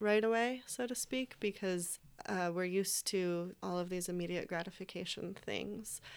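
Delivered at a fairly slow pace, the voice comes through a very clean recording with a silent background. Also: woman. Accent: American. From upstate New York. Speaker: Chinese medicine student. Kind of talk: casual panel discussion.

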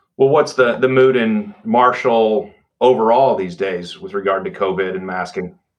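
At a moderate pace, a man with a Texan accent speaks in a medium pitch with ordinary pitch variation. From Texas Panhandle. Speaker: podcast host, law center director. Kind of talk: interview.

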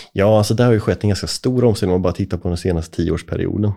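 A man's dark, mellow voice in a very clean recording with a silent background. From Småland highlands, Sweden. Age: 30s. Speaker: forestry company CEO. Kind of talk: podcast interview.

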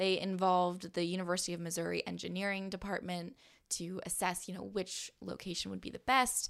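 In a very clean recording with a silent background, the speaker talks with a Californian accent. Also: woman, medium pitch for a woman, fairly quick pace. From Southern California. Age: 20s. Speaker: podcast host and broadcaster. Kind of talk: interview conversation. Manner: lively.

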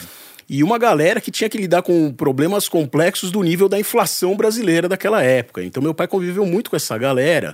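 Very fast and high-pitched, a man talks with lively intonation. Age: 40s. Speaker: journalist and entrepreneur. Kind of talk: casual interview.

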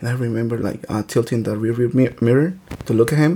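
At a moderate pace, a man with a Spanish accent speaks at medium pitch with ordinary pitch variation. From Mexico, Michoacán. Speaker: podcast host, teacher. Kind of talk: casual chat. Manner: halting.

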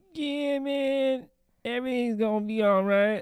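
A put-on character voice with a fairly high pitch moves at a moderate pace. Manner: laid-back, reassuring.

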